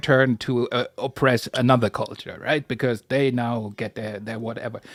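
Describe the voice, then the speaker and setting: A medium-pitched man with a German accent, at a moderate pace. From Germany. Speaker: panelist in discussion. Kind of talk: casual chat.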